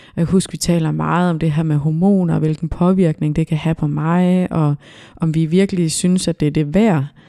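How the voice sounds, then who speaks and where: The voice has a dark, mellow tone, monotone, flat intonation and very even loudness. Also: woman, fairly low pitch for a woman, moderate pace. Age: 30s. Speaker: self-employed business owner. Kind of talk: podcast interview. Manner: hesitant, many fillers.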